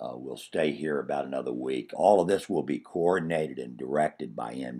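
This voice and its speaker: A man with an American accent, a dark, mellow tone and vocal fry, at a moderate pace with ordinary pitch variation. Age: 60s. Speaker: comedian. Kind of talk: personal video diary. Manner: halting.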